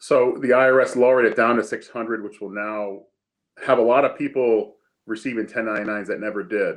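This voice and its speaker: Using a normal speaking voice, a man talks at a moderate pace and a medium pitch with fairly even intonation. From Massachusetts. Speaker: accountant. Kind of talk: interview.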